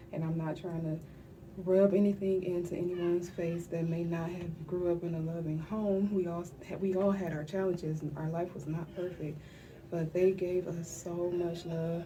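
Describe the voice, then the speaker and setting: A woman whispers at a moderate pace. Room echo is audible, along with noticeable background noise. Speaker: vlogger sharing personal grief diary. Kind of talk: personal video diary. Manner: whispering.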